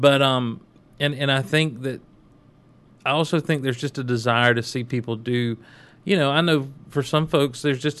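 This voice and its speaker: In a plain, everyday voice with an American accent, a man speaks at medium pitch and a moderate pace with fairly even intonation against a quiet background. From US South. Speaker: pastor, podcast co-host. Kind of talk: casual chat about faith.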